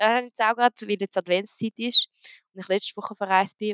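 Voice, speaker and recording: Speaking at a very fast pace, a woman uses a medium pitch. Her pitch varies in an ordinary way. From grew up around the world as a diplomat's daughter. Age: young. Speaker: professional wrestler. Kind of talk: casual interview. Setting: online call.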